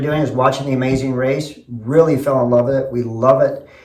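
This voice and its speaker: Through noticeable background noise and audible room echo, a man speaks at a moderate pace with a medium pitch and ordinary pitch variation. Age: 60s. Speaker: construction company owner. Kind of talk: audition video.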